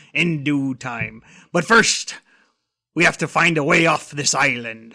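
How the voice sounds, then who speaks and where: A man puts on a gruff, raspy, growling character voice at a fairly high pitch. He speaks fairly slowly, and the recording is very clean with a silent background. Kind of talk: comic pirate voice. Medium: read story. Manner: gruff, growling pirate talk.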